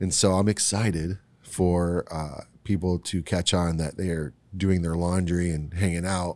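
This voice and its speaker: A man's very deep, low, monotone voice at a fairly slow pace, flat in intonation, in a very clean recording over a silent background. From Ohio, US Midwest, Puerto Rican parents. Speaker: brewery owner. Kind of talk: casual interview. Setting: at a brewery.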